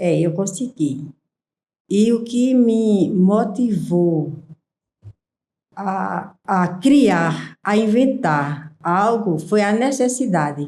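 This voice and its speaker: Pausing long and often, a woman talks very slowly at a medium pitch with lively intonation. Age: 60s. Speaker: small business owner. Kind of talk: interview.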